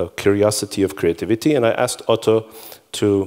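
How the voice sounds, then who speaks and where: A man talks with fairly even intonation at a fairly low pitch. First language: Hebrew. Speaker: conference speaker. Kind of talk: conference talk. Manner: halting.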